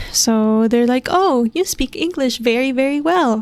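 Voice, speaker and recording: In an American accent, a woman talks at a moderate pace with a high pitch. Her pitch varies in an ordinary way, and the sound is dry and close with no echo. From Minnesota, US. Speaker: podcast host. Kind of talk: solo podcast monologue. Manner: quiet; casual.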